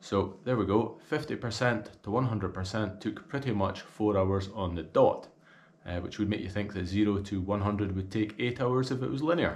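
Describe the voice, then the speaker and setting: Somewhat breathy and fairly low in pitch, a man with a Scottish accent speaks at a fairly slow pace with ordinary pitch variation. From Scotland. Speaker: golf gear reviewer. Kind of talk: video review. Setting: outdoors. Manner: casual. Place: home room.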